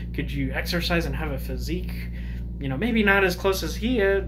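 A man's very deep, low voice, flat and monotone, at a fairly quick pace over noticeable background noise. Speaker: YouTuber giving opinion. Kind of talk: casual monologue commentary. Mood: calm, opinionated. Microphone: phone near.

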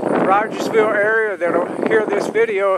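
A man speaks at a high pitch with a fairly bright tone and ordinary pitch variation.

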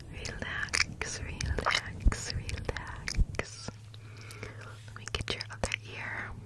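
Whispering, a woman speaks. She goes at a very slow pace. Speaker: ASMR creator. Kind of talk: soft-spoken ASMR roleplay. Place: home room. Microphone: studio mic.

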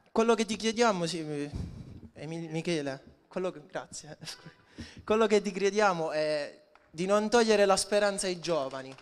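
At a moderate pace, a man talks in a high pitch. His pitch variation is ordinary. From Puglia, Orta Nova; Puglia. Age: young. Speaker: youth party secretary; young local politician at a rally. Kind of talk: campaign rally speech. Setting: outdoor square with audience. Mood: earnest appeal. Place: street.

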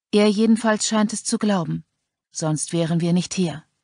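A woman speaks at a medium pitch with a dark, mellow tone and ordinary pitch variation. Her sound is dry and close, with no echo. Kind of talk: dramatic audiobook narration. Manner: slow, hushed, tense; grim, suspenseful, first-person.

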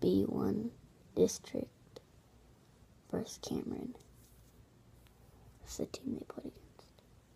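A whisper, very slow, broken by long, frequent pauses. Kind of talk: casual talk to camera.

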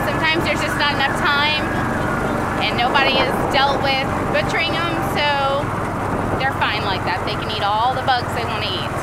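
The speech moves at a fairly quick pace. Loud background noise sits under a dry sound with no echo. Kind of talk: casual vlog chat. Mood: relaxed, easygoing. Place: farm machine. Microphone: phone near.

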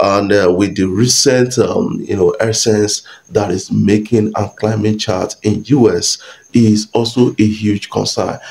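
A man with a fairly low pitch speaks at a fairly slow pace. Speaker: entertainment news YouTuber. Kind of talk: casual vlog commentary. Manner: hesitant, many fillers. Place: home room.

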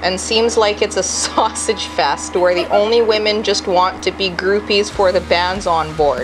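The speech moves at a fairly slow pace. Clear music plays in the background. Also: woman. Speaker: cruise company office staff reading internet comments. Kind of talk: casual, profane. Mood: amused, incredulous. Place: office.

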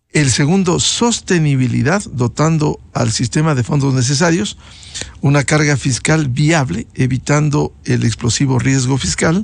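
Lively intonation marks this somewhat breathy man. The sound is dry, with no echo. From Ecuador. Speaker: news show host. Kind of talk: interview. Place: studio. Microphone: studio mic.

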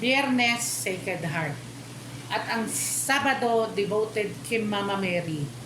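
A woman at a medium pitch swings her pitch very widely, with noticeable background noise and audible room echo. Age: 60s. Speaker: image caretaker and parishioner. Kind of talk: testimony. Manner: halting.

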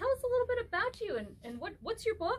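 A woman talks at a fast pace, her extremely high pitch making big swings up and down.

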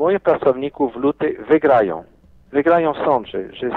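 Lively in intonation, a man with a fairly high pitch talks at a moderate pace. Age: 50s. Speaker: businessman. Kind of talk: interview. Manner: animated.

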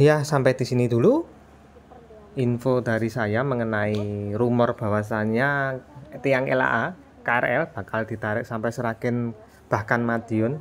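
Faint music plays in the background as a man talks at a very slow pace with fairly even intonation. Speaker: railfan vlogger. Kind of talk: casual vlog narration. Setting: outdoors beside railway. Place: open country. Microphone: phone near.

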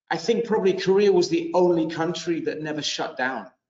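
A man talks at a very fast pace with ordinary pitch variation. Room echo is audible, though the background is quiet. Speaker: panelist. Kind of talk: interview answer. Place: studio. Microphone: video call.

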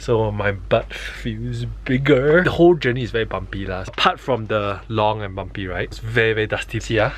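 Moderate pace, hardly any pauses, and a dry sound with no echo. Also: man. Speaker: travel vlogger. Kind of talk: casual vlog chat. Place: tent. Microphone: phone near.

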